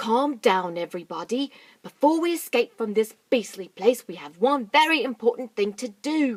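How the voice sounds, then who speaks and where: A female-sounding put-on character voice runs at a moderate pace with a fairly high pitch. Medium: read story.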